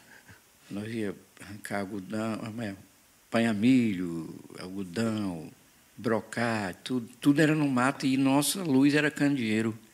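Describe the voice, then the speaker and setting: Long, frequent pauses break up this man's speech. He talks at a fairly slow pace and a medium pitch. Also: ordinary pitch variation. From Ceará, Brazil (Quixadá). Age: 50s. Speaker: forró singer. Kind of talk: casual chat.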